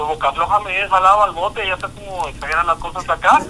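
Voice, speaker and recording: With a raised, projected voice and a high pitch, a man speaks at a very fast pace with ordinary pitch variation over noticeable background noise. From Guatemala. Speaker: voice actor and social media personality. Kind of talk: casual interview.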